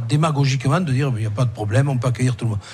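A man is talking. There is some breathiness in his voice. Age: 60s. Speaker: senator. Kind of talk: radio interview. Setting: restaurant, live broadcast.

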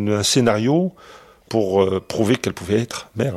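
A man with lively intonation. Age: 60s. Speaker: father of kidnapped newborn. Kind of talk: testimony.

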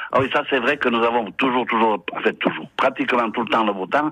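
A man at a fairly quick pace, ordinary pitch variation, noticeable background noise behind him. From French Basque Country. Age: 60s. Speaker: retired Basque emigrant. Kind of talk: radio interview.

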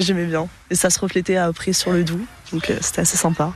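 A woman is speaking. Her pitch is medium and her pace is moderate. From southern France, Nice. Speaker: passer-by interviewed in street. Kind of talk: street interview. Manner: hesitant.

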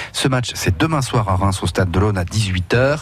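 A man speaks with lively intonation. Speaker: radio host. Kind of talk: casual chat. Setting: studio. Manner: animated.

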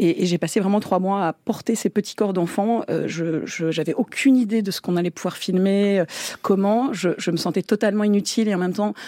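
In a very clean recording with a silent background and a dry, close sound with no echo, a woman speaks at a fairly quick pace with a dark, mellow tone, medium pitch and ordinary pitch variation. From France and England, half English. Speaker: war reporter. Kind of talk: interview.

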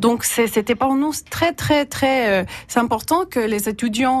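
A woman in a Salvadoran accent with lively intonation, a fairly slow pace and a quiet background. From El Salvador. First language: Spanish (speaking French). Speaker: university teaching adviser. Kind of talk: radio interview. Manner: halting.

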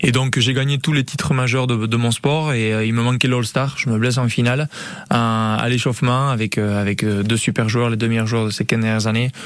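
A man's medium-pitched voice at a moderate pace, very even in loudness and fairly even in intonation, with noticeable background noise. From French Basque Country, Hendaye. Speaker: retired pelota player and firefighter. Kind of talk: radio interview.

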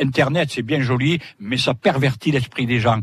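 A somewhat breathy voice at a moderate pace, with fairly even intonation. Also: man. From southern France, Sète. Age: 70s. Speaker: retired former photographer defending local cuisine. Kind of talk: live radio interview. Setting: outdoor broadcast in a fishermen's hut.

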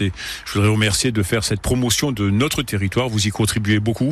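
Talking very fast, a man uses a somewhat breathy, fairly low voice with fairly even intonation. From Lorraine, Moselle (Yutz). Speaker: local politician. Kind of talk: radio interview. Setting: on a boat.

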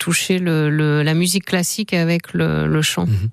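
Over noticeable background noise, a woman speaks in a very deep, low pitch. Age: 50s. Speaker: singer-songwriter and teacher. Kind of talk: radio interview.

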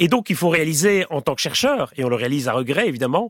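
A man's voice moves in very wide pitch swings, in a dry, close sound with no echo on a very clean recording with a silent background. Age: 40s. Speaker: professor. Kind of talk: interview. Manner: halting.

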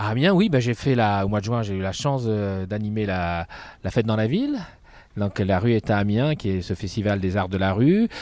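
A man's fairly low-pitched, plain, everyday voice at a moderate pace, with ordinary pitch variation. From northern France, Dunkirk. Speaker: circus ringmaster. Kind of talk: casual interview. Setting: outdoors in a park.

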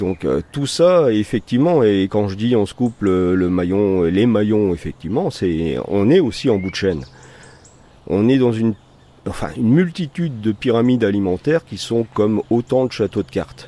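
A man's fairly low voice, dark and mellow in tone, with very wide pitch swings at a moderate pace. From northern France, Valenciennes area. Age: 60s. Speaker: nature guide and bird protection volunteer. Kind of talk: interview. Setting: at his home garden. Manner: halting.

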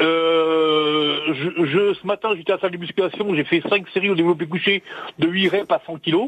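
A man with a high voice for his sex speaks with fairly even intonation. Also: moderate pace. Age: 60s. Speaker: radio caller. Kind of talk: phone-in testimony.

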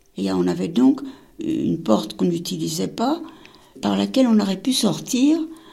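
A woman speaks at a moderate pace with long, frequent pauses. Audible room echo is present. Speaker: Holocaust survivor. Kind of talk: testimony.

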